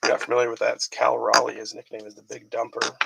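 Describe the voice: A man's fast, husky voice with a rough edge, vocal fry, a fairly bright tone, and little pitch movement. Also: medium pitch for a man.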